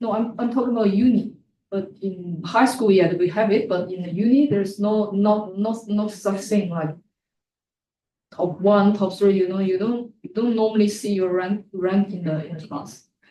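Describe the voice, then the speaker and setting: At a moderate pace and medium pitch, a woman speaks in a dark, mellow, somewhat breathy tone with fairly even intonation and big swings in loudness. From China. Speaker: job interviewee, former accountant. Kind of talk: interview. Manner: halting.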